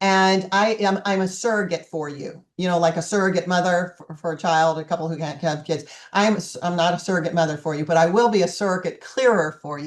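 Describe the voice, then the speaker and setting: A woman talks in an ordinary speaking voice at a fairly low pitch. Her pace is fairly quick, with ordinary pitch variation, over a quiet background. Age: 60s. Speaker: life coach. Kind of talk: online group coaching class. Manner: casual, chatty.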